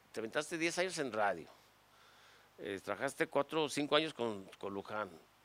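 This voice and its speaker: Recorded very cleanly with no background sound, a man talks at a fairly slow pace while his pitch swings very widely. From Mexico, Guadalajara (Jalisco). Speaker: comedian. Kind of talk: casual chat. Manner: animated.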